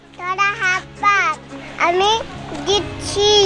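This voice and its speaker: Clear music plays behind a cartoonish character voice that sounds female and reaches an extremely high pitch. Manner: curt, commanding.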